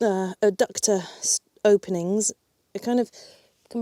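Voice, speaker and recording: A woman's fairly high voice, calm in tone, dark and mellow, with ordinary pitch variation and a dry, close sound free of echo. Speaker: yoga teacher. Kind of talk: guided yoga class instruction. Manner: calm, instructive.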